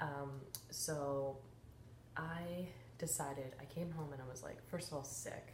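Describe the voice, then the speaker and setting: With a very deep, low pitch, a woman speaks at a fairly slow pace with fairly even intonation and long, frequent pauses. Audible room echo is present. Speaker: wellness program coach. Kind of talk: casual vlog check-in. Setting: at home, sister sleeping nearby. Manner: kept quiet so as not to wake her sister.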